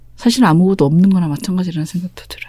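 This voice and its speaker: A woman speaks at a medium pitch in a dark, mellow tone that is somewhat breathy. Her tone is calm and soothing. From Busan, South Korea. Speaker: novelist. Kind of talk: interview. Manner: calm, soothing.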